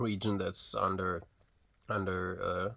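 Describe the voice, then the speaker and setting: A man is speaking. He has a non-native accent. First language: not English. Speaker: physiotherapist vlogging a personal journey. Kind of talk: casual vlog monologue. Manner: hesitant, many fillers and restarts; unscripted, unedited.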